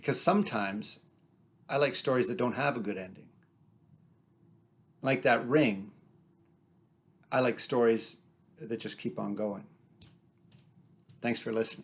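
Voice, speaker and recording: A man at medium pitch with vocal fry and lively intonation, moderate pace, long and frequent pauses. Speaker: storyteller. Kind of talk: personal storytelling.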